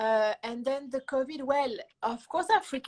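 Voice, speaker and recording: A woman talks at a moderate pace with a French accent. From France. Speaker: musician. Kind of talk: interview. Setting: Instagram live show.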